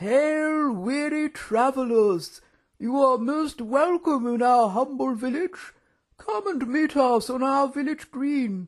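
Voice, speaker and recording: At a fairly slow pace, a man delivers a put-on character voice pitched extremely high. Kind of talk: archaic, formal. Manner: loud and hearty.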